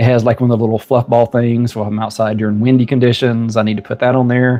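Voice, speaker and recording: Over music in the background, a man with a Southern US accent speaks at a medium pitch in a flat, monotone way. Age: 50s. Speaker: YouTuber. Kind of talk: casual talk to camera.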